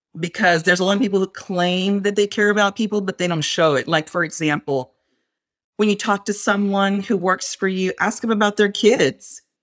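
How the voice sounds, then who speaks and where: A woman with a West Texas accent and a medium pitch talks at a fairly quick pace in an energetic tone, her pitch varying in an ordinary way. The recording is very clean, with a silent background and a dry, close sound with no echo. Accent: West Texas American. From West Texas (Fort Stockton). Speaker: Air Force civil service program manager. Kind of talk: interview conversation.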